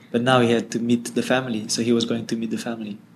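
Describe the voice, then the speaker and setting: Pitched in the middle range, a man talks with a French accent. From France. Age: 20s. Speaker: social entrepreneur. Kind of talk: interview.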